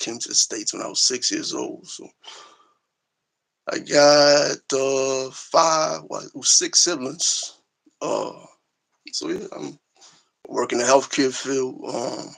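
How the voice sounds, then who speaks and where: A man speaks at a very slow pace with long, frequent pauses. His loudness swings widely. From Liberia, raised in US East Coast from age six. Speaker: healthcare worker, interview guest. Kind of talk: live-stream interview. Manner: halting, many fillers.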